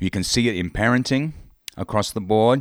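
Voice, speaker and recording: In a very clean recording with a silent background, a man talks at a medium pitch with ordinary pitch variation, the sound dry and close with no echo. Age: 40s. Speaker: podcast host. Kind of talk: solo podcast monologue. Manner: hesitant with frequent fillers.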